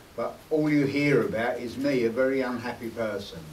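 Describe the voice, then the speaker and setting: There is audible room echo and noticeable background noise. A man with a medium pitch speaks in a London accent. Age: 60s. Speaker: former gangster and convert speaking at an event. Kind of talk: personal testimony to an audience. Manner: hesitant, repeating words.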